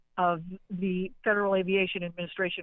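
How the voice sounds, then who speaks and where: A woman's medium-pitched voice at a moderate pace. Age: 60s. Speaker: caller. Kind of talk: call-in conversation. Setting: phone call. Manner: halting.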